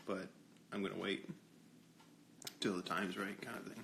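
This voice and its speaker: A quiet man's voice. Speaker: livestreamer. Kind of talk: casual livestream chat. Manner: quiet, low.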